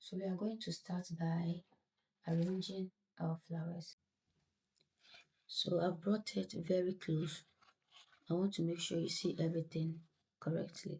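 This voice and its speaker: A woman with a dark, mellow tone and a somewhat breathy sound speaks fairly slowly in a monotone, flat intonation, leaving long, frequent pauses. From Ghana. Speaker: craft tutorial creator. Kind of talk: tutorial. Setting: home at night.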